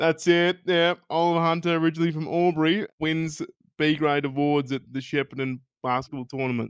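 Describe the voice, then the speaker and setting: This man speaks fairly quickly with an Australian accent and a fairly high pitch. His intonation is fairly even, and the sound is dry and close with no echo. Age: 20s. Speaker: podcast host and stand-up comedian. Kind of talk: casual chat.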